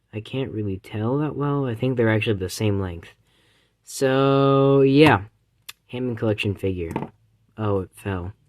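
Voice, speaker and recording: Delivery is fairly slow, broken by long, frequent pauses. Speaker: toy reviewer. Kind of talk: toy review video.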